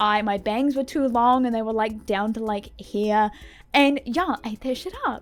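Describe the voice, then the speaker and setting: A woman speaks with a New Zealand accent. Her pitch is fairly high. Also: ordinary pitch variation, moderate pace. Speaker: gaming YouTuber. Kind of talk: casual chat. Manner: animated. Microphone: mic issues.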